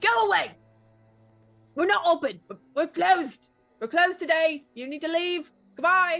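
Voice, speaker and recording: A gruff, put-on character voice at a moderate pace, with big swings in loudness, long, frequent pauses and music in the background. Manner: curt, dismissive.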